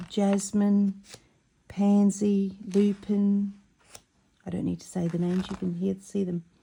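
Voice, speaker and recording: A woman's dark, mellow, somewhat breathy voice, monotone and flat, at a very slow pace. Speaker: embroidery crafter. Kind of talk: casual tutorial.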